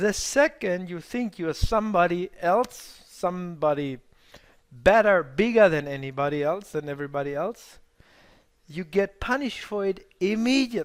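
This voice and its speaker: With a non-native accent, a man speaks at a high pitch and a moderate pace, his intonation lively. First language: not English. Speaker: trading mentor. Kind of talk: live webinar workshop. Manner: halting.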